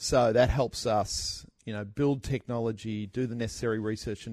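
The speaker talks at a fairly quick pace with an Australian accent. The recording is very clean, with a silent background. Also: man. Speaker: startup co-founder. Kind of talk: interview. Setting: studio.

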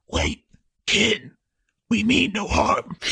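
This is a put-on character voice with a fairly high pitch. It sounds raspy. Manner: old-timey movie voice.

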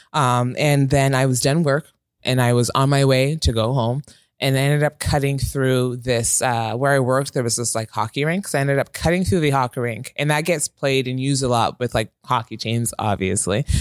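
A man with a normal speaking voice, medium in pitch, at a fairly quick pace with fairly even intonation and very even loudness, in a dry, close sound with no echo and a very clean recording over a silent background. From Toronto, Canada. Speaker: customer service worker. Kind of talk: casual chat. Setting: studio.

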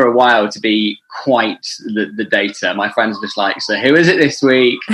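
With an ordinary speaking voice, the man keeps a moderate pace and ordinary pitch variation. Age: 20s. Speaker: radio presenter. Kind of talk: casual chat.

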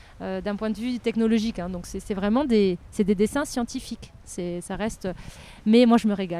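A woman speaks with ordinary pitch variation. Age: 40s. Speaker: archaeologist. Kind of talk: interview conversation. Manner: animated.

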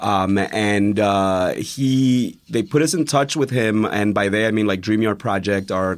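A very clean recording with a silent background of a man's fairly low voice, an unremarkable speaking voice at a moderate pace with ordinary pitch variation. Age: 30s. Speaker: teacher. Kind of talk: casual chat.

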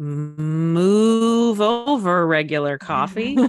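A put-on character voice at a middle pitch drawls along at a very slow pace. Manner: mooing, playful.

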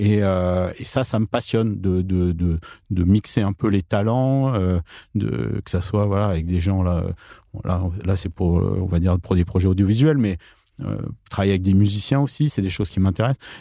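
A very deep, low-pitched male voice with a dark, mellow tone, ordinary pitch variation, and a moderate pace, on a very clean recording with a silent background. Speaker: author and mathematician. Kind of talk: interview. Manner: halting.

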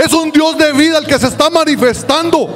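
Through noticeable background noise comes a man's voice at an extremely high pitch. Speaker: minister. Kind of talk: prayer. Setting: church service with congregation. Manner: formal.

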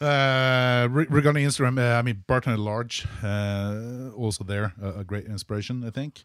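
A man with a normal speaking voice talks at a medium pitch and moderate pace, with ordinary pitch variation and hardly any pauses, on a very clean recording with a silent background. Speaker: bartender podcast host. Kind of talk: casual chat.

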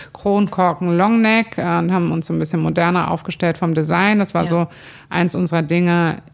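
A woman's fairly low voice at a fairly quick pace, with ordinary pitch variation and noticeable background noise. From Cologne, Germany. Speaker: brewery owner. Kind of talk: casual chat. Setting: brewpub, on location.

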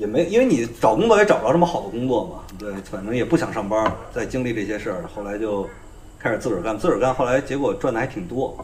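The speaker talks at a very fast pace with lively intonation, and room echo is audible. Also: man, medium pitch for a man. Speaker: comedian. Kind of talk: casual chat.

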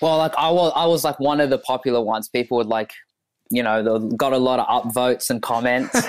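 Talking at a very fast pace, a man keeps a medium pitch, ordinary pitch variation and very even loudness. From Ethiopia. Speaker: comedian. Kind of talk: casual chat.

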